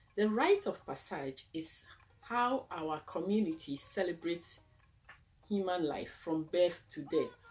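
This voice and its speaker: Music playing in the background, pitch varying in an ordinary way. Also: woman. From Ghana. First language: Akan. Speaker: cultural presenter. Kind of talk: educational talk.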